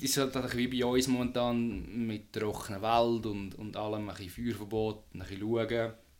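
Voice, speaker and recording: A man talks at a moderate pace. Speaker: podcast host. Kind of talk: casual chat.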